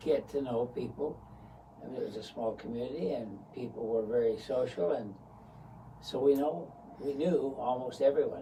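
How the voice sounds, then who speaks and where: A man speaks at a moderate pace with a medium pitch and ordinary pitch variation, with audible room echo. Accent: American. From US West, St. George, Utah. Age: 70s. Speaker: retired businessman, lifelong local. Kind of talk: interview, reminiscing.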